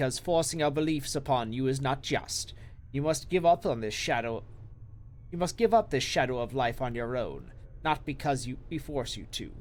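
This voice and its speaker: A man puts on a wheezy character voice at medium pitch and moderate pace. His pitch varies in an ordinary way, with clear background noise behind him. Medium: game stream. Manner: solemn, measured.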